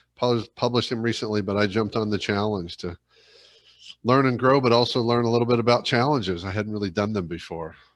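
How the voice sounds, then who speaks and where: Talking at a very fast pace, a man with a fairly low pitch and ordinary pitch variation is heard against a quiet background. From Ohio, near Dayton. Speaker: leadership coach and speaker. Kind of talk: casual interview chat.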